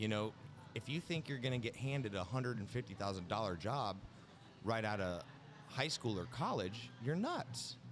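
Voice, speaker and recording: A man speaks with ordinary pitch variation and very even loudness. Music plays in the background. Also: medium pitch for a man, moderate pace. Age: 20s. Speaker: outside sales rep, podcast guest. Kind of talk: casual chat.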